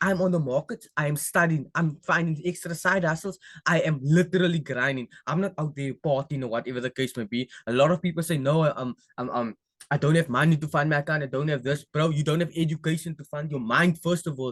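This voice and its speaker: A man's fairly high, somewhat breathy voice at a fairly quick pace, with ordinary pitch variation and a dry, close sound with no echo. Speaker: forex trading educator. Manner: fast; casual.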